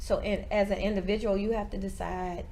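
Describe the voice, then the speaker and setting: At a moderate pace, a woman with a medium pitch speaks amid audible room echo. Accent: American. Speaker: church leader. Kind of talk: interview. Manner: halting, stuttering.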